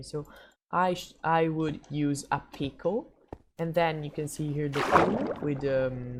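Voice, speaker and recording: Very deep and low in pitch, a woman speaks with fairly even intonation and a somewhat breathy sound. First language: not English. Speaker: gaming tutorial youtuber. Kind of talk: tutorial. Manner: halting, many fillers.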